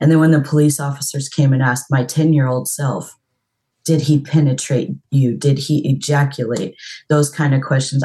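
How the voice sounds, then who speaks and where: A woman speaks with a very deep, low pitch and a dark, mellow tone that is somewhat breathy. Her fairly quick delivery stays monotone and flat. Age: 40s. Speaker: mental health worker. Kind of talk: counseling session.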